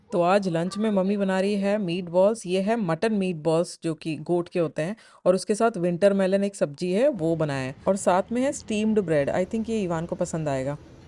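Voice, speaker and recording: Hardly pausing, a woman speaks at a moderate pace in a dark, mellow tone at a medium pitch. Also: ordinary pitch variation. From India. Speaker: vlogger. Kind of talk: travel vlog narration.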